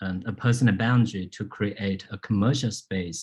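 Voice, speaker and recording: A man with a Chinese accent speaks at a moderate pace in a dark, mellow, somewhat breathy tone with ordinary pitch variation, on a very clean recording with a silent background. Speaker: landscape architect and lecturer. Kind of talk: public lecture Q&A. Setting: public talk with audience. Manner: halting, many fillers.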